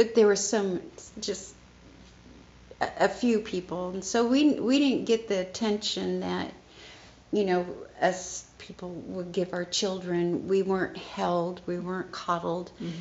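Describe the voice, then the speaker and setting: A woman at a fairly slow pace with long, frequent pauses and ordinary pitch variation. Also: medium pitch for a woman. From South Korea, raised in US after adoption. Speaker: guest sharing life testimony. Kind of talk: testimony.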